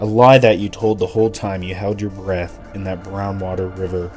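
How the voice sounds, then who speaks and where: A man's very deep, low voice in monotone, flat intonation, with music in the background. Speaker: narrator. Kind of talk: horror story narration.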